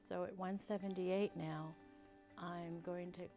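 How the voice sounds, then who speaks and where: With music in the background, a woman with an American accent speaks fairly slowly at a fairly low pitch. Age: 60s. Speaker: retired teacher, counselor and school psychologist. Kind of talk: interview answer, personal testimonial.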